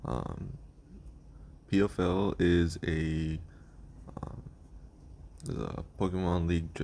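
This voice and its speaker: In a very deep, low voice, a man speaks very slowly with fairly even intonation. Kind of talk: casual talk to camera. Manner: hesitant, many fillers.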